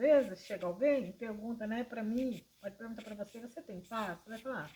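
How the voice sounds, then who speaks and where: A woman with a fairly high pitch and a somewhat breathy voice speaks at a moderate pace with ordinary pitch variation. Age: 60s. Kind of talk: informal religious talk to camera. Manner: hesitant, with fillers.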